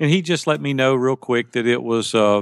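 Against a quiet background, a man talks fairly quickly. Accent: Southern US. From US South, Tennessee (near Nashville). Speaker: life and business coach. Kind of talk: interview.

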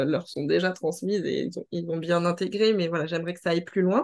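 Against a quiet background, a woman speaks with a fairly low pitch and fairly even intonation. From mainland France. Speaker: naturopath and inclusivity trainer. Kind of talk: interview conversation. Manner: hesitant, many fillers.

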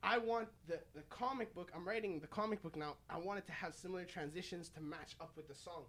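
Speaking with a Montreal accent, a man with a high pitch and an animated tone uses ordinary pitch variation and hardly any pauses. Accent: anglophone Montreal English. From Montreal West Island, Quebec. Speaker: rapper. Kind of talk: casual chat.

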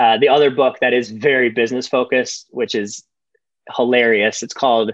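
Monotone, flat intonation marks this man's medium-pitched speech. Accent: American. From US Midwest, Michigan. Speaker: startup founder and investor. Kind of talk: interview.

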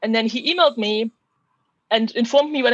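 Dry and close with no echo, a woman's voice moves at a fairly quick pace. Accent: German. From Germany. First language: German. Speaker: physicist. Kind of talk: interview.

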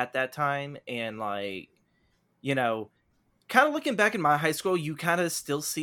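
This man talks at a moderate pace. His tone is bright and sharp. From Texas. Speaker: Twitch storyteller. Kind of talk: casual chat. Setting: video call. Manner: calm, not very lively.

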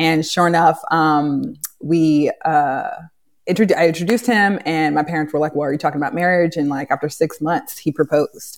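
The speaker has a Californian accent. The pace is moderate, with ordinary pitch variation. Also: woman, very deep, low pitch for a woman. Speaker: real estate agent and NFL wife. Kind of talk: casual interview chat. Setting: live online video call.

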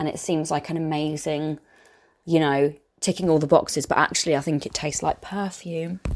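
A woman with a southern English accent speaks at a fairly quick pace. Her voice is very deep and low, in a monotone, flat delivery. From southern England. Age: 20s. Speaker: podcast host. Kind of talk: casual Q&A monologue. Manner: chatty.

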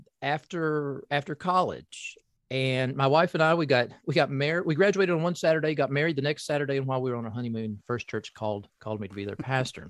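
This man talks with lively intonation and an American accent, recorded with a dry, close sound with no echo. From US South, Appalachian southeastern Kentucky. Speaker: professor and pastor. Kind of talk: casual interview conversation. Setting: office. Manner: halting, many fillers.

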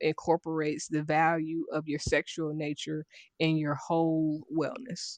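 With an American accent, a woman speaks fairly slowly in a very deep, low voice with fairly even intonation, the sound dry and close with no echo and the background quiet. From Dayton, Ohio. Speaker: life coach and author, army veteran. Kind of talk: interview, personal life story.

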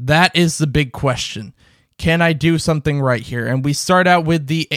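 A man's normal speaking voice, fairly high in pitch, with ordinary pitch variation, at a moderate pace, in a dry, close sound with no echo. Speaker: sports podcast host. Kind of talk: solo sports commentary show.

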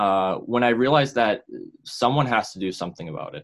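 With an American accent, a man speaks over a quiet background. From Massachusetts, north of Boston. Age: young. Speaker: mental health activist. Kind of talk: interview. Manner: halting, many repetitions and fillers.

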